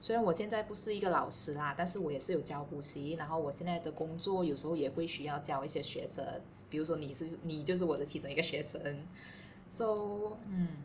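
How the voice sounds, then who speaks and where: Noticeable background noise and audible room echo surround a woman's voice. She talks at a fairly quick pace in a fairly low pitch. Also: ordinary pitch variation. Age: 30s. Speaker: podcast co-host, office worker. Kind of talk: casual chat.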